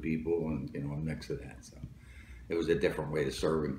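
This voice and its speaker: A man with a New Jersey accent speaks in a very deep, low pitch. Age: 70s. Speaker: Marine Corps veteran and police lieutenant. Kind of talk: interview answer.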